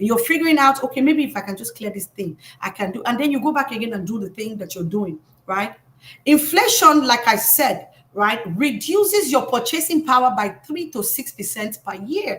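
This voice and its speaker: Speaking in an animated tone with an African accent, a woman uses a high pitch with very wide swings at a moderate pace. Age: 30s. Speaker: financial educator. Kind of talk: live stream talk. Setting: live stream.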